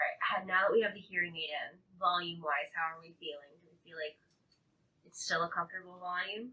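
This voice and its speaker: A woman talks at a fairly quick pace in a fairly low pitch. Her intonation stays fairly even while her loudness swings widely. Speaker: audiologist. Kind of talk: clinical consultation.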